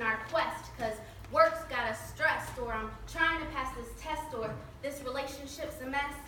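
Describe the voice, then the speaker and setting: A woman with an American accent uses a raised, projected voice at a high pitch and moderate pace. Audible room echo and light background noise are present. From Mexican American. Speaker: motivational speaker. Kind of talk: spoken word poetry performance. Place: hall. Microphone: camera far.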